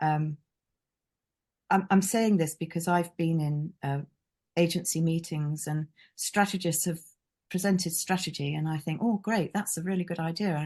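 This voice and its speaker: A woman speaks at a moderate pace with long, frequent pauses and fairly even intonation. Her pitch is fairly low, and the background is quiet. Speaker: branding consultant. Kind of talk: webinar presentation. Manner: hesitant, many fillers.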